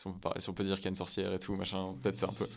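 This man's voice sits very deep and low, with vocal fry running through it. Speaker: film podcast host. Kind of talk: interview. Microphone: mic badly set, saturating heavily.

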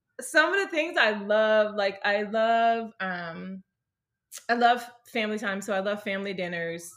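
This woman has an ordinary speaking voice, fairly high in pitch with ordinary pitch variation. She speaks at a fairly slow pace. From US South, Mississippi. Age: 40s. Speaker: pastor's wife. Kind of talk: casual interview.

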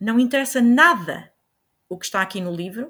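A woman with an ordinary speaking voice talks at a moderate pace with ordinary pitch variation on a very clean recording with a silent background. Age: 50s. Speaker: biology teacher. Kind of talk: interview answers.

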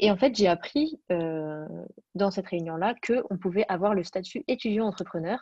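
A woman talks in an ordinary speaking voice, at medium pitch with ordinary pitch variation. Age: 20s. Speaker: fashion entrepreneur. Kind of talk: interview.

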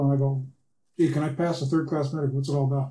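His voice is fairly high in pitch, dark and mellow in tone, and somewhat breathy. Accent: American. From Seattle, Washington. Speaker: pilot, aviation club member. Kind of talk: casual interview. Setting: studio.

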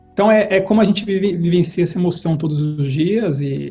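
A man's high-pitched voice with ordinary pitch variation over music in the background. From Brazil, Campinas (São Paulo state). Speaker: corporate executive. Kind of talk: interview. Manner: halting, many fillers and repetitions.

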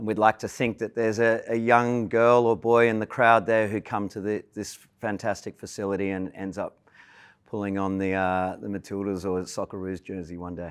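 On a very clean recording with a silent background, a man with an Australian accent speaks in a fairly low pitch and fairly even intonation. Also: moderate pace. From Australia (Melbourne). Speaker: sports club chair. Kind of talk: interview.

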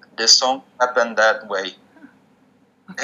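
A medium-pitched man's voice with a Portuguese accent. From Brazil, northeast. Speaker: musician. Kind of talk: interview.

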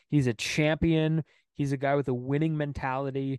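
An unremarkable speaking voice from a man, fairly high in pitch and fairly slow, set against a quiet background. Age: 20s. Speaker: baseball podcast host. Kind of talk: casual chat.

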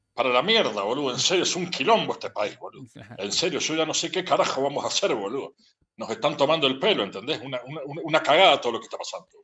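A man with an Argentine accent, fairly high-pitched, talking at a very fast pace with lively intonation and big swings in loudness. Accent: Rioplatense Argentine Spanish. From Buenos Aires, Argentina. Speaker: interviewee. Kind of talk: casual interview rant. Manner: animated.

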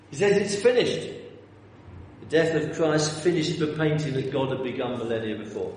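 A man with a fairly high voice at a moderate pace, some room echo and noticeable background noise. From North London, England. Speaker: preacher. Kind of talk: sermon. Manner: halting, repeats words.

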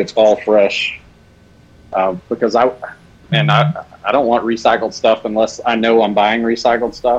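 With fairly even intonation and a medium pitch, a man delivers his words fairly slowly. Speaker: custom soft plastic lure maker. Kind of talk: casual chat and live tutorial.

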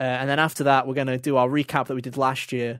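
Speaking at a very fast pace and medium pitch, a man comes through in a very clean recording with a silent background. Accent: British. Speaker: gaming podcast host. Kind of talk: casual chat.

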